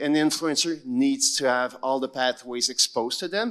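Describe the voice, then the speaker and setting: A man with a non-native accent at a moderate pace, very wide pitch swings, on a very clean recording with a silent background. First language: not English. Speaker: education panelist. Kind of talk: panel discussion.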